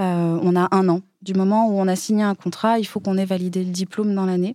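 A woman's medium-pitched voice in a dark, mellow tone, at a moderate pace, with a dry, close sound and no echo. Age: 20s. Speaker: funeral director and ceremony officiant. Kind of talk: casual interview.

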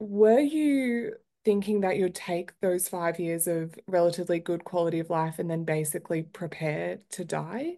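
A woman talks at a moderate pace in an unremarkable speaking voice, fairly low in pitch with ordinary pitch variation. There are hardly any pauses, and the background is quiet. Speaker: podcast host. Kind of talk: interview.

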